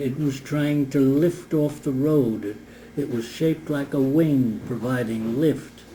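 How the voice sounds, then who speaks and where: A man speaks very slowly at a medium pitch, his tone dark and mellow. His pitch varies in an ordinary way. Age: 80s+. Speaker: retired race car driver; war veteran. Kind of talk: interview answer.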